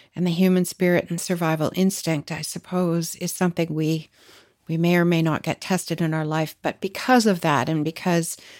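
A woman with an unremarkable speaking voice, fairly low pitch, fairly even intonation and a Canadian accent, on a very clean recording with a silent background. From Canada. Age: 60s. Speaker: podcast host. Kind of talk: interview.

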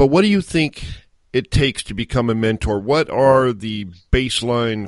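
With an unremarkable speaking voice, a man talks at a moderate pace and with lively intonation, the sound dry and close with no echo against a quiet background. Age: 50s. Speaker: podcast host. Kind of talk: interview.

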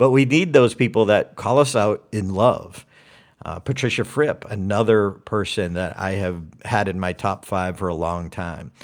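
In an unremarkable speaking voice, a man talks at a moderate pace with a fairly low pitch, ordinary pitch variation and an American accent. The recording is very clean, with a silent background. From US, Boston. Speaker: public speaking coach. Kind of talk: interview.

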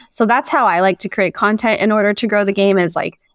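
An ordinary speaking voice with an American accent at a fairly quick pace, dry and close with no echo, on a very clean recording against a silent background. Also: woman. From Idaho. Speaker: sports journalist and podcaster. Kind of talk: casual interview chat.

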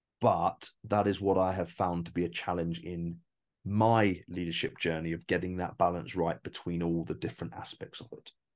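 Fairly even intonation in a man's very deep, low voice. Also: moderate pace. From England (Essex and Northumberland). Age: 30s. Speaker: entrepreneur, business founder. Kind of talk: interview conversation.

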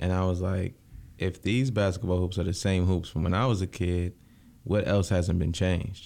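Speaking in an American accent, a man with a very deep, low pitch and a dark, mellow tone keeps a moderate pace, fairly even intonation and very even loudness. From Lansing, Michigan. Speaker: county commissioner. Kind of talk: casual interview. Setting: studio.

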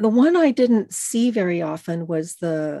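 A woman's dark, mellow voice with an American accent, against a quiet background. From Los Angeles, California. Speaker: organizational psychologist. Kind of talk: casual interview conversation.

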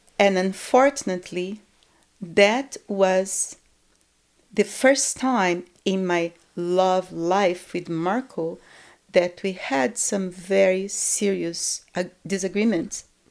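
A woman in a Brazilian accent, medium in pitch, at a very slow pace. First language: Portuguese. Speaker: guest telling her life story. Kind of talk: casual interview, personal storytelling. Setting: studio.

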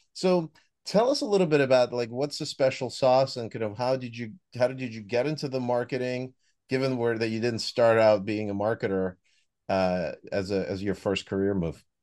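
A man's plain, everyday voice at a medium pitch and moderate pace, with ordinary pitch variation over a quiet background. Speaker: podcast host. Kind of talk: interview, conversational.

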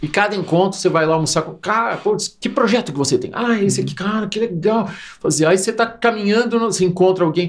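A man talks very fast at a high pitch, with ordinary pitch variation. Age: 50s. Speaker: marketing and innovation executive, speaker. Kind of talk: casual interview chat.

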